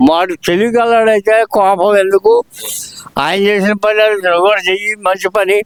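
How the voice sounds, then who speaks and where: Flat and monotone, a man's high-pitched voice holds a very even loudness throughout. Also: dry, close sound with no echo. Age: 80s+. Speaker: pensioner interviewed on the street. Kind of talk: street interview. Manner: halting.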